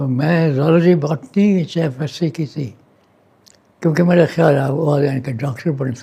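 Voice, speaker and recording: Somewhat breathy and fairly high-pitched for a man, his voice carries a dark, mellow tone. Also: ordinary pitch variation. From Dera Ghazi Khan, Punjab, Pakistan. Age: 80s+. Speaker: retired doctor. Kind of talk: interview answer.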